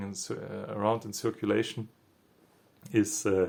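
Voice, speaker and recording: A man with a non-native accent talks at a fairly quick pace in a fairly low pitch. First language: not English. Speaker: spiritual commentator. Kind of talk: reflective monologue. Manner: halting.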